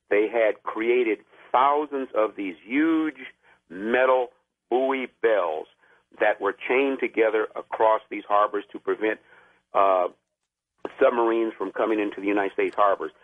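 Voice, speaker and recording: A man with a medium pitch speaks at a moderate pace with ordinary pitch variation and long, frequent pauses. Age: 60s. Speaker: caller, veteran. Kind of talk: call-in radio talk. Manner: halting, many fillers.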